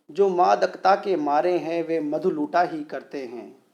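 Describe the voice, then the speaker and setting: His voice is pitched high for a man, and the man uses ordinary pitch variation. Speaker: radio jockey. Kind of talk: poetry reading.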